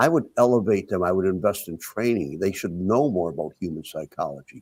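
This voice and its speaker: With an American accent, a man speaks in a very deep, low pitch at a fairly quick pace. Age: 70s. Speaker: independent presidential candidate. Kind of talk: interview. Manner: halting.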